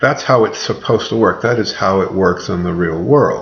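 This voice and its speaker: A man talks in a room with audible echo, with noticeable background noise around him. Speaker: college writing instructor. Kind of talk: recorded lecture to students. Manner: rambling, filler words.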